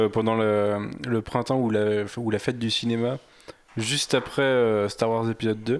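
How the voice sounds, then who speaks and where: An unremarkable speaking voice, a man's at medium pitch, moves at a fairly slow pace with fairly even intonation and very even loudness. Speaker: podcast panelist. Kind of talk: casual chat.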